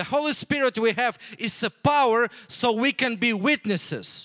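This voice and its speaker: A man with an extremely high pitch and a bright, sharp tone projects a raised voice at a moderate pace with ordinary pitch variation, on a very clean recording with a silent background and a dry, close sound with no echo. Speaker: missionary pastor. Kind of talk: sermon. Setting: church.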